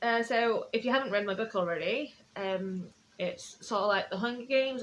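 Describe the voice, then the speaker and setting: A woman speaks with a Yorkshire accent. Her pitch variation is ordinary. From northern England, Sheffield. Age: 20s. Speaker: author. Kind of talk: casual live stream chat. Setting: Facebook live stream at home. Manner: fast.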